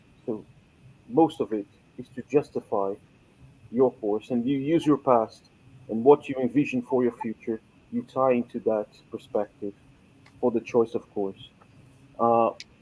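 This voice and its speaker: Recorded with a dry, close sound and no echo, a man with a Portuguese accent speaks at a moderate pace, medium in pitch with ordinary variation. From Brazil. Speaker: scholarship holder and English teacher. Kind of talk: webinar presentation. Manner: conversational with many fillers.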